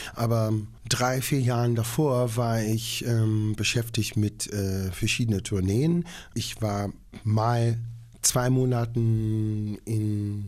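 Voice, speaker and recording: Speaking very slowly with an English accent, a man uses a dark, mellow tone and a monotone, flat intonation. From Long Island, New York. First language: English (speaking German). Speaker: opera singer. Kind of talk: interview.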